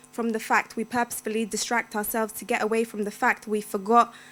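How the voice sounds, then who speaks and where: A woman's fairly high voice with a London accent, at a moderate pace. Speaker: poet. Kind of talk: poetry reading. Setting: stage with audience.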